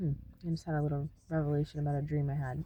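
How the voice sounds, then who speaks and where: This soft-spoken voice has a dark, mellow tone and vocal fry. It moves at a very fast pace. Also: woman. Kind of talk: spiritual teaching monologue. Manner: hesitant, many fillers.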